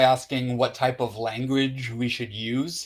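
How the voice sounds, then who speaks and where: In a very clean recording with a silent background, a man of medium pitch talks at a fairly slow pace with a strong Canadian accent. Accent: thick Canadian. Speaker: interviewer. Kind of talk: interview.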